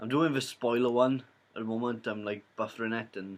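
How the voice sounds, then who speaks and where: Intonation stays fairly even for this man. He keeps to a moderate pace. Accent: Welsh. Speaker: YouTuber, film reviewer. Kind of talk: casual vlog review. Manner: rambling, hesitant with fillers.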